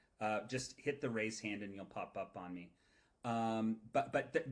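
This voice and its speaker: Speaking at a moderate pace, a man uses a medium pitch and ordinary pitch variation. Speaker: presenter of AI workshop. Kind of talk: online workshop presentation with Q&A. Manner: repetitive, halting starts.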